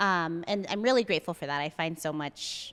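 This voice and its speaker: The speaker is a woman with ordinary pitch variation. Her pace is moderate. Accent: Spanish. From US, Mexican-American family. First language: Spanish. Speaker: therapist and coffee shop founder. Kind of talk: podcast interview.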